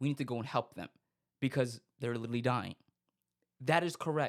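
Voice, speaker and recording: A man on a very clean recording with a silent background. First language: not English. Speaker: podcast host. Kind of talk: casual monologue commentary. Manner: halting, frequent fillers and restarts.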